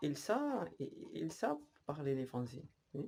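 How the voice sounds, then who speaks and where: This man's voice is fairly high, with a dark, mellow tone. He sounds somewhat breathy and his intonation is lively. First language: Spanish (speaking French). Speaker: language learner vlogger. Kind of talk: casual vlog monologue. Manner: halting, many repetitions.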